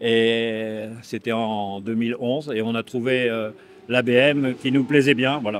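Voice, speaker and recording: At a very slow pace, a man speaks in a monotone, flat way at a medium pitch. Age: 70s. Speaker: motorcycle racer. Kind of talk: interview.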